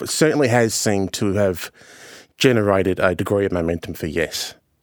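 A man with a very deep, low pitch and an Australian accent, moderate pace, ordinary pitch variation, and a dry, close sound with no echo on a very clean recording over a silent background. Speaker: journalist and commentator. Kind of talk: news podcast interview.

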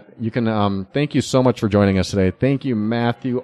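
An ordinary speaking voice, a man's, sits fairly low in pitch with ordinary pitch variation, moving at a fairly quick pace in a dry, close sound with no echo. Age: 40s. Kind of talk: casual chat. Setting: coffee shop.

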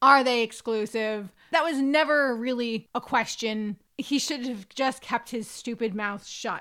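In a very clean recording with a silent background, a woman with a high pitch and a bright, sharp tone speaks at a fairly slow pace, with ordinary pitch variation and hardly any pauses. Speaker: podcast co-host. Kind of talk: casual banter. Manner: jokey, playful.

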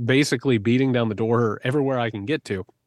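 An unremarkable speaking voice from a man with an American accent, medium pitch, fairly quick pace and a quiet background. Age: 40s. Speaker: author and podcast co-host. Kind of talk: casual interview.

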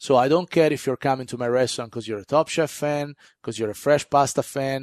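A man's medium-pitched voice, fairly even in intonation, at a very fast pace, with a dry, close sound free of echo and a quiet background. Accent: Italian. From Italy (Florence). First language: Italian. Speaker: chef and restaurateur. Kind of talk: casual interview. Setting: studio. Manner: halting.

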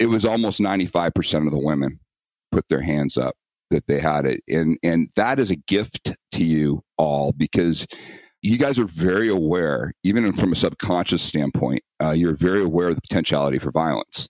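With a very deep, low pitch and vocal fry, a man talks at a moderate pace with lively intonation. His loudness stays very even, and the sound is dry and close with no echo. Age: 50s. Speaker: self-protection instructor. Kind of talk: interview.

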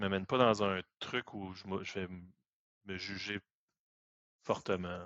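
Loudness swings widely as a man with a fairly low pitch talks at a fairly slow pace, his intonation monotone and flat, with long, frequent pauses. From Quebec. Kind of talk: casual chat.

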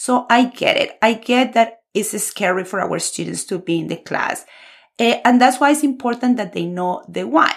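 A woman with a Colombian accent, fairly high pitch, vocal fry, ordinary pitch variation and a moderate pace. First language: Spanish. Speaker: Spanish teacher and podcast host. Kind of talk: podcast monologue, scripted intro and informal talk. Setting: recording alone for podcast. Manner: warm, enthusiastic.

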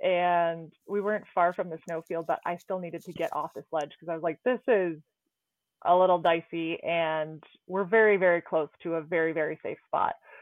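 With a normal speaking voice, a woman talks at a moderate pace in a fairly low pitch, her loudness swinging widely. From Canada. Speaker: trauma ICU nurse and climber. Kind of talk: interview, personal accident story.

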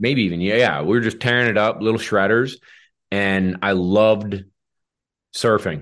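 A man speaks at a moderate pace with long, frequent pauses, very even loudness and ordinary pitch variation against a quiet background. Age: 30s. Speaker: retriever dog trainer and podcast host. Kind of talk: casual chat. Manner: animated.

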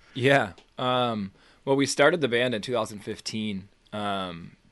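A man in an American accent has medium pitch, ordinary pitch variation and an unremarkable speaking voice. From US Northeast, Boston. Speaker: musician. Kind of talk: casual interview.

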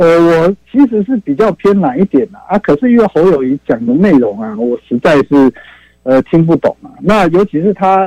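A man speaks at a moderate pace with a dark, mellow tone and high pitch. His pitch swings very widely, and the sound is dry and close with no echo. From Taiwan, Taipei. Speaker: caller. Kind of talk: call-in opinion. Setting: phone call.

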